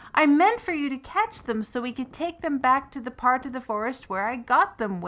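A woman puts on a high-pitched character voice at a moderate pace, her pitch swinging very widely. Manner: wailing, distressed.

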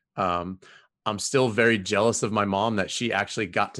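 A man's fairly low voice with a Southern Californian accent, fairly even intonation, a moderate pace and a quiet background. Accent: Southern Californian American. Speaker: women's college soccer coach. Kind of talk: casual interview chat. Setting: video call. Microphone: new podcast equipment.

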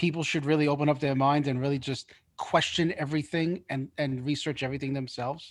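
An unremarkable speaking voice from a man, with fairly even intonation, on a very clean recording with a silent background. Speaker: co-host. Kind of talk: casual chat.

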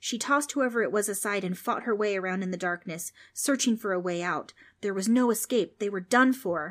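With ordinary pitch variation, the text is being read aloud in a natural voice.

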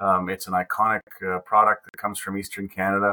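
The recording is dry and close, with no echo. A man speaks fairly quickly in a fairly low voice with a bright, sharp tone. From Nova Scotia (Digby County, rural). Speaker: seafood industry association director. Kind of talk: interview. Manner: halting, many fillers and repeats.

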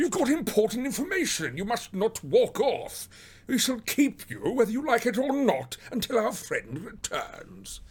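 A man puts on a character voice pitched extremely high for a man, with very wide pitch swings. He talks at a fairly slow pace.

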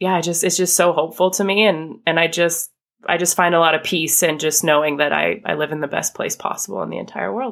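A woman with an American accent talks at a very fast pace in a fairly low pitch with ordinary pitch variation and vocal fry, in a very clean recording with a silent background. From US, northern Idaho. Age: 30s. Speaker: small business owner. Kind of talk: interview conversation.

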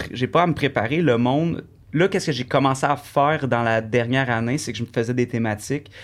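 A man speaks with an unremarkable speaking voice at medium pitch and a fairly quick pace, with ordinary pitch variation. The recording is very clean, with a silent background. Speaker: singer and Twitch streamer. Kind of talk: casual interview chat.

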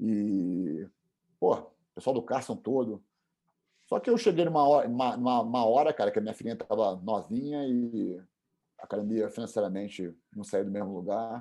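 With long, frequent pauses, a man talks at a moderate pace in a medium pitch and a dark, mellow tone, his pitch varying an ordinary amount against a quiet background. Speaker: jiu-jitsu instructor. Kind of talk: interview.

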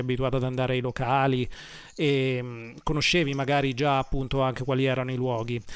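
Fairly quick speech from a man. His intonation is monotone and flat. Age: 30s. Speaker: radio host and concert promoter. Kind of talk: radio interview.

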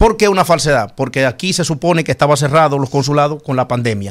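Fairly high in pitch, a man talks at a fairly quick pace in an ordinary speaking voice with lively intonation. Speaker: senator. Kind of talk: studio interview.

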